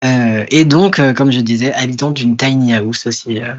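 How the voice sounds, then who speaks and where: A man at a moderate pace, medium pitch and fairly even intonation. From rural France. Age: 20s. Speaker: author and librarian. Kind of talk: interview. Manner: halting, many fillers.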